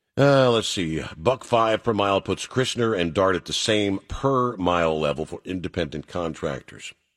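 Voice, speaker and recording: A man with an ordinary speaking voice talks with lively intonation, the sound dry and close with no echo. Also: fairly low pitch for a man, moderate pace, hardly any pauses. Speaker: talk radio host for truckers. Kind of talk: call-in radio talk show. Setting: studio. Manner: casual, filler-heavy.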